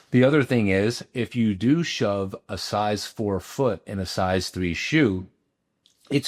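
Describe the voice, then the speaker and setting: Very clean with a silent background, the dry, close recording with no echo captures a man with a normal speaking voice, fairly low pitch and lively intonation, speaking at a fairly slow pace. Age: 50s. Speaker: cosmetic dermatologist. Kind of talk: interview.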